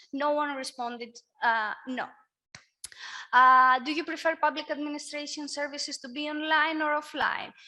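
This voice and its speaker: A raised, projected voice with a Greek accent speaks at a fairly slow pace with fairly even intonation. The recording is very clean, with a silent background. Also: woman. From Greece. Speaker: workshop moderator. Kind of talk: panel discussion.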